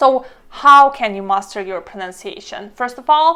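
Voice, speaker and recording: A woman with a slight non-native accent talks at a fairly slow pace, her pitch swinging very widely. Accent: slight foreign accent in every language. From Estonia. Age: 30s. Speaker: language learning vlogger. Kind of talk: tutorial. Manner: casual, conversational.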